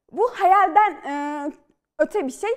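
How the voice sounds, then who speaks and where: A woman talks with lively intonation at a moderate pace, the background quiet. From Central Anatolia, Turkey (Polatlı, Ankara); Central Anatolia, Turkey. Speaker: novelist and screenwriter; guest. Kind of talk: studio interview. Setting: TV studio. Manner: hesitant with fillers. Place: studio. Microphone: lapel.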